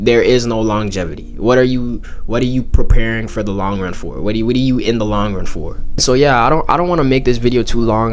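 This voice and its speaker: With audible room echo and noticeable background noise, a man at a medium pitch talks at a very fast pace with hardly any pauses. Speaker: YouTuber. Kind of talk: casual monologue. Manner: halting, repeats words.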